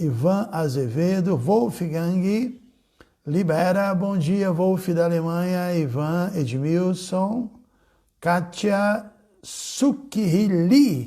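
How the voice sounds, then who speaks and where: Speaking at a very slow pace, a man has a high pitch and lively intonation. His tone is dark and mellow. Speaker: spiritual teacher. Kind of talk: casual chat. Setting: livestream. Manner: animated.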